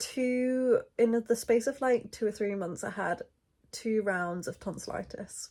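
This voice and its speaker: With a British accent, a woman speaks at a very slow pace, her fairly high voice dark and mellow, with ordinary pitch variation. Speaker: lifestyle vlogger. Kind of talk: casual vlog talk.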